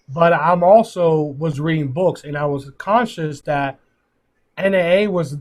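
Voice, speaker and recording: A somewhat breathy quality marks this voice. The speaker is a man. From Puerto Rico, raised in Pittsburgh. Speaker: sales district manager. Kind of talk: motivational talk on team call. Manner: animated; halting.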